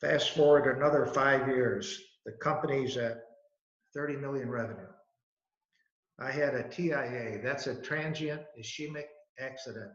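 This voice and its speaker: A moderate pace in an American accent, fairly even intonation, long, frequent pauses, and audible room echo. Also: man, fairly high pitch for a man. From Buffalo, New York, US. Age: 80s+. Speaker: business founder. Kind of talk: talk to students.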